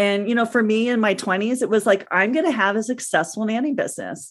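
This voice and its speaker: A woman talks in a plain, everyday voice at a fairly quick pace. Her pitch is fairly high with ordinary pitch variation, over a quiet background. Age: 50s. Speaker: nanny agency owner. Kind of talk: interview.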